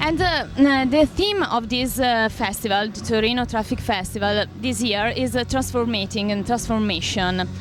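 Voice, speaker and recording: Against music in the background and audible room echo, a woman with an Italian accent speaks at a fairly high pitch with hardly any pauses. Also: ordinary pitch variation, moderate pace. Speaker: interviewer. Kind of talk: interview. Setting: festival backstage. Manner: halting, many fillers.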